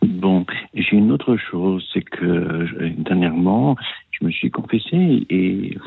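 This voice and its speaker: With very wide pitch swings, a man speaks at a very deep, low pitch. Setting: phone call. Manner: hesitant, halting.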